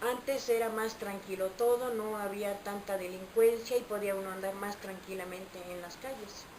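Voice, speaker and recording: Against noticeable background noise, a woman talks at a moderate pace with hardly any pauses, her medium pitch in fairly even intonation and her loudness swinging widely. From Mexico, Veracruz. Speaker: interviewee. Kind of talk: interview.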